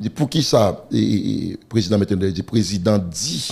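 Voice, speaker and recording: A man speaks in a fairly low voice. It sounds somewhat breathy. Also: quiet background. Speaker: pastor. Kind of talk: interview. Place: studio. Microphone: studio mic.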